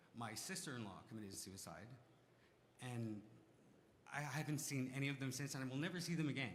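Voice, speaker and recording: Audible room echo surrounds a man speaking at a moderate pace. His pitch is medium, with ordinary pitch variation. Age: 40s. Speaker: community member speaking from the floor. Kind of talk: testimony. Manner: halting.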